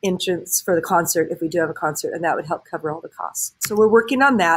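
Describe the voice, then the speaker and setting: In a warm tone, a woman talks at medium pitch. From Southern California. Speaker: high school choir teacher; choir teacher. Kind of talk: recorded address to parents. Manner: warm, conversational with fillers. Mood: warm, upbeat. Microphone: webcam.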